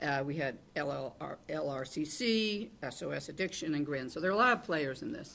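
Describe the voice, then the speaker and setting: Audible room echo surrounds a woman whose very deep, low pitch and vocal fry come with lively intonation at a fairly quick pace and hardly any pauses. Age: 70s. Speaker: panelist, peer support trainer in gambling recovery. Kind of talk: panel discussion. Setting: conference panel with live and virtual audience. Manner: rambling, self-interrupting.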